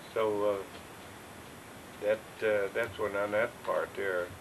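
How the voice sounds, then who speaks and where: Behind noticeable background noise, a man with an American accent speaks at a very slow pace. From upstate New York. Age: 80s+. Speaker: retired farmer. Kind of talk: oral history interview. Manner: halting.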